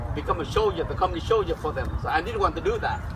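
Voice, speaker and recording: The speaker has a Vietnamese accent. Noticeable background noise runs underneath. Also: man. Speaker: Navy veteran and refugee. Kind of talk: talk to students at a memorial. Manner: halting.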